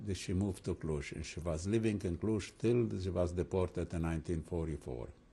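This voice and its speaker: A man speaks at a moderate pace with a very deep, low, dark and mellow voice that is somewhat breathy. His pitch varies in an ordinary way against a quiet background. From Transylvania, Romania. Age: 80s+. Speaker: rabbi and Holocaust survivor. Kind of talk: oral history interview. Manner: halting, with repetitions and fillers.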